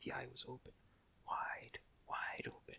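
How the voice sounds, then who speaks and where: A man is whispering. His tone is calm. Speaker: storyteller. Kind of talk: ASMR story reading. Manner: soft-spoken, calm.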